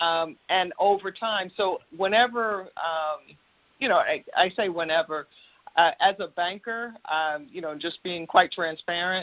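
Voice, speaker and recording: A woman talks at a fairly slow pace, her medium pitch rising and falling in an ordinary way. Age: 60s. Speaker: banker and author. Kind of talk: podcast interview. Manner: halting, many fillers and restarts.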